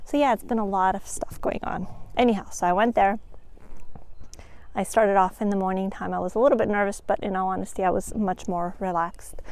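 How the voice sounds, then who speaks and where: A soft-spoken woman at a medium pitch, with ordinary pitch variation and a fairly quick pace. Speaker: vlogger and new truck driver. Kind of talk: casual vlog. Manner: animated. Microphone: new microphone.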